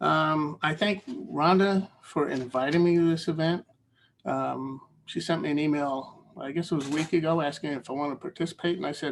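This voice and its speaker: This man's pitch is fairly high. He speaks at a moderate pace with fairly even intonation. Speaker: poet. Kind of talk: poetry reading event remarks. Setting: video call.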